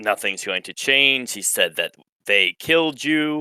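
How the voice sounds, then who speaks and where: A man uses a put-on character voice at a fairly high pitch, fairly slowly, with lively intonation. His loudness swings widely, and the sound is dry and close with no echo. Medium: actual play.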